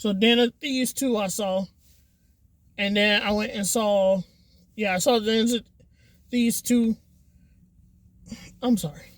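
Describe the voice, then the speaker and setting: With an American accent, a woman speaks at a fairly high pitch, somewhat breathy and with fairly even intonation. Her fairly slow pace is broken by long, frequent pauses. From Florida. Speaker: movie reviewer. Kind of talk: casual vlog review. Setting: at home, police passing by. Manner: rambling, many fillers.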